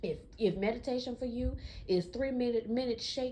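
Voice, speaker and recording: Vocal fry is present. The intonation moves in a lively way. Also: woman. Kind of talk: casual podcast rant. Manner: casual, conversational.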